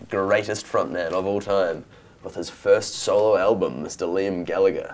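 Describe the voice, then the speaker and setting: A man talks at a fairly slow pace with a New Zealand accent. Noticeable background noise sits behind him. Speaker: musician. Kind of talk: casual chat.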